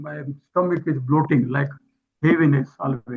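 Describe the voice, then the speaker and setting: This man has a fairly high pitch and an Indian accent. He talks at a moderate pace with fairly even intonation. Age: 70s. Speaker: webinar participant. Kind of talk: asking a question. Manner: halting.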